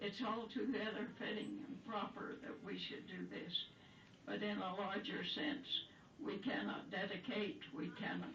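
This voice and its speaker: Speaking at a fairly slow pace, a woman with a medium pitch comes through over noticeable background noise. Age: 80s+. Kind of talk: poetry reading.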